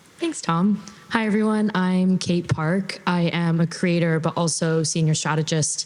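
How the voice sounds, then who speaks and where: With noticeable background noise behind her, a woman speaks at a moderate pace with a fairly low pitch and fairly even intonation. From Canada. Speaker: content creator and strategist, panelist. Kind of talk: panel discussion.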